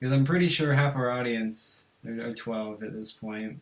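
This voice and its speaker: In a normal speaking voice, the speaker goes at a moderate pace with ordinary pitch variation. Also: man. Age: 18. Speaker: podcast host. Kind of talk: casual chat.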